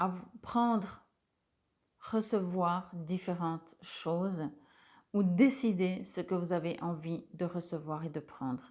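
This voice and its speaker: A woman's fairly low voice at a very slow pace, with long, frequent pauses, ordinary pitch variation, and a very clean recording over a silent background. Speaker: tarot reader and energy healer. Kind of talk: spiritual card reading guidance. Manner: hesitant, many filler sounds.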